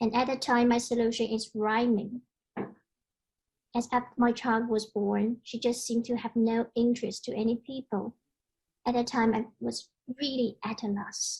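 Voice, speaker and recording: Fairly high-pitched woman's voice with a Chinese accent, monotone and flat, at a moderate pace with long, frequent pauses. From China. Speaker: conference speaker, parent and columnist. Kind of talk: conference presentation.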